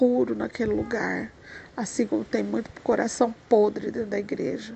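A woman's plain, everyday voice, fairly high in pitch, at a moderate pace. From Brazil, countryside. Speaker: preacher. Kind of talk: devotional message. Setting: at home.

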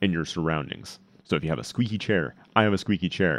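This man has a very deep, low pitch with ordinary pitch variation, recorded against a quiet background. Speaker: streaming tech podcast host. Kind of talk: tutorial. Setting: home studio, live stream with chat.

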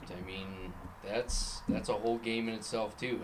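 With an American accent, a man talks in an unremarkable speaking voice pitched fairly low. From Minnesota. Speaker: clay shooter and father. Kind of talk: casual chat. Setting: garage.

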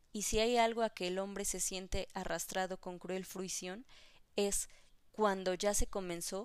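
Words are read aloud here in a natural voice.

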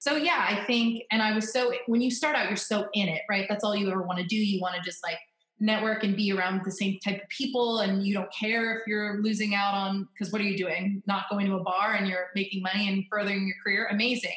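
A woman in an American accent, medium-pitched and fairly quick with hardly any pauses, fairly even intonation, and noticeable background noise. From Florida. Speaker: wedding photographer. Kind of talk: casual interview. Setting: remote call from home office.

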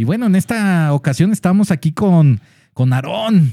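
Recorded dry and close with no echo, a man talks at a fairly slow pace in a dark, mellow tone. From Guadalajara, Mexico. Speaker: online radio show host. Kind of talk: casual interview chat. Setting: studio, streamed live on Facebook.

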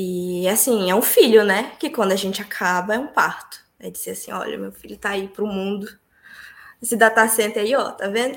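The speaker keeps a moderate pace while the loudness swings widely. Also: woman, medium pitch for a woman, ordinary pitch variation. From Brazil, Pará (Santarém). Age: 20s. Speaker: civil engineer. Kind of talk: interview.

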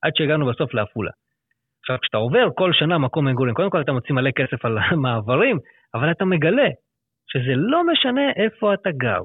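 At a fairly quick pace, a man with a fairly high pitch makes very wide pitch swings while keeping his loudness very even. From Israel, Lod. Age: 30s. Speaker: financial planner. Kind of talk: interview.

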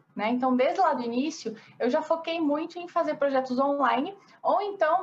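A woman speaks at a moderate pace with a Paraná countryside accent and ordinary pitch variation. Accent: noticeable Paraná countryside. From Brazil, interior of Paraná. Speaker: architect. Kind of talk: interview.

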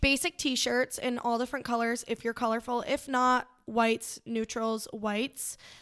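Speaking at a moderate pace with hardly any pauses, the voice has an American accent and monotone, flat intonation, in a very clean recording with a silent background and a dry, close sound with no echo. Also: woman, high pitch for a woman. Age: 20s. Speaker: boutique owner. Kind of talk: casual chat.

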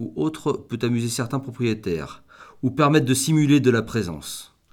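A plain, everyday voice from a man, medium in pitch, with ordinary pitch variation and a moderate pace, on a very clean recording with a silent background. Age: 50s. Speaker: boatbuilder and company founder. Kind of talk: interview.

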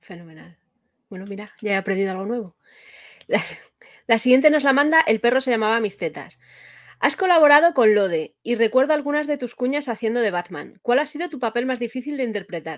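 Over a very clean recording with a silent background, a woman speaks at a high pitch and a fairly quick pace, with very wide pitch swings and big swings in loudness. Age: 40s. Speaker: interviewer. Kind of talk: interview.

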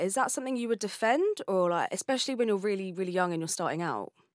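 On a very clean recording with a silent background and a dry, close sound with no echo, a woman has an unremarkable speaking voice, a medium pitch and lively intonation. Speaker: podcast host. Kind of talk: interview, podcast conversation.

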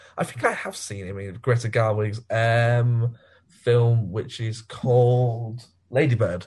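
On a very clean recording with a silent background, a somewhat breathy man at medium pitch talks at a moderate pace with fairly even intonation. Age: 20s. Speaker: podcast host. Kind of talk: casual chat.

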